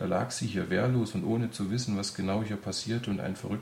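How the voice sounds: Fairly even intonation in a natural reading voice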